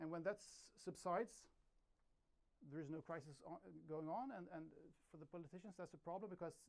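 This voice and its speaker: The speaker talks at a fairly quick pace with a Swedish accent. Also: man. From Sweden. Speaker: journalist. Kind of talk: conference talk. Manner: halting, many repetitions.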